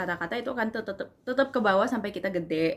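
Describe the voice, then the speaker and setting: The speaker is a woman. Her pitch is medium. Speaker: university student; language tutor. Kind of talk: casual talk to camera. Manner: casual, informal.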